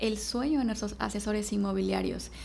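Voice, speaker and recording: Audible room echo hangs around the voice. A woman speaks at a moderate pace. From Mexico, Veracruz. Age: 30s. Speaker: real estate sales manager. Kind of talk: podcast interview.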